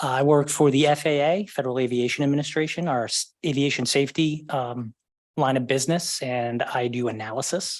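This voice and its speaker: A man with an American accent, fairly even intonation, and a quiet background. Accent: Boston accent, somewhat controlled. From Boston area, Massachusetts. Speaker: committee member, government data analyst. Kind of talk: meeting self-introduction. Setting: livestreamed city committee meeting.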